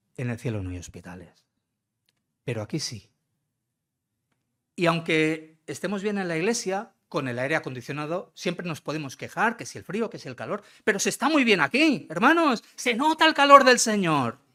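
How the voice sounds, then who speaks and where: At a moderate pace, a man with a high pitch speaks with very wide pitch swings and big swings in loudness, in a very clean recording with a silent background. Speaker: visiting pastor. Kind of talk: sermon. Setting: church. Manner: conversational, addresses congregation directly.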